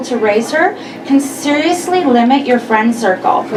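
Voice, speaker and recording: Noticeable background noise and audible room echo around lively intonation. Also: woman. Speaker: comedian. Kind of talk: stand-up. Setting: stage with audience.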